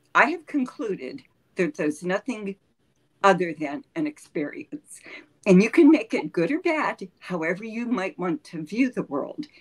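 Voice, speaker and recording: Very wide pitch swings mark a woman's medium-pitched voice with an American accent, delivered at a moderate pace in a dry, close sound without echo. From Ohio. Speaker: retired business analyst. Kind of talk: interview.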